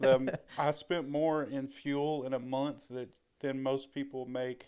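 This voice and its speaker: A man talks at a fairly slow pace with monotone, flat intonation. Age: 30s. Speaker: Marine veteran. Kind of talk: casual chat.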